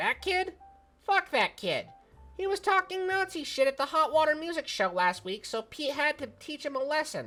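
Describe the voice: A wheezy, put-on character voice is heard. Faint music plays in the background. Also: moderate pace.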